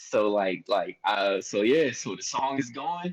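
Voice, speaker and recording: A man with a Philadelphia accent speaks at a very slow pace. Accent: Philly. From Philadelphia, US. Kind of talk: casual chat. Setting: live-streamed podcast. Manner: animated.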